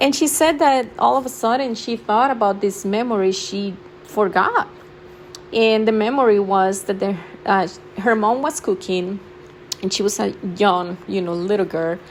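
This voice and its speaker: A woman with a non-native accent at a medium pitch and moderate pace, with lively intonation, long, frequent pauses and noticeable background noise. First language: not English. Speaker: spirituality vlogger. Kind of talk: casual talk to camera. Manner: halting, many fillers.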